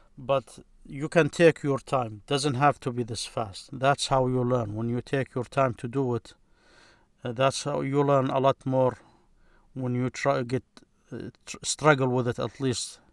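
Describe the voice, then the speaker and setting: A man's normal speaking voice at medium pitch, fairly even in intonation, dry and close with no echo, on a very clean recording with a silent background. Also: fairly slow pace. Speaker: Arabic grammar teacher. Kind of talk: tutorial.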